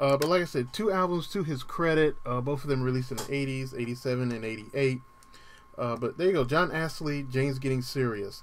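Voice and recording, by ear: Speaking at a fairly quick pace, a man uses medium pitch with ordinary pitch variation.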